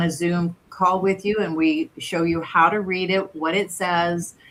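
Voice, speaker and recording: Against noticeable background noise, a woman of medium pitch speaks at a fairly slow pace with fairly even intonation. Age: 60s. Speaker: wellness scan provider. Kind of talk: casual chat.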